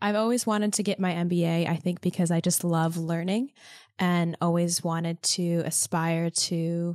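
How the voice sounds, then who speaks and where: Fairly low pitch from a woman with an American accent and a plain, everyday voice, fairly even intonation, and a dry, close sound with no echo. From upstate New York. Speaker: MBA student and marketing professional. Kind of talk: casual interview. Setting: video call.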